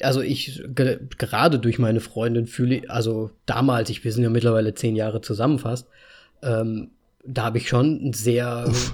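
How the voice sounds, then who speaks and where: At a fairly slow pace, a man speaks at medium pitch with a somewhat breathy quality. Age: 30s. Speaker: podcast host, designer. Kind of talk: casual chat.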